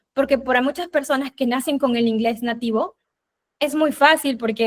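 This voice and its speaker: Fairly even intonation marks a woman's speech at a moderate pace. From Peru. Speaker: UX designer giving a talk. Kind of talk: presentation with slides. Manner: hesitant filler words.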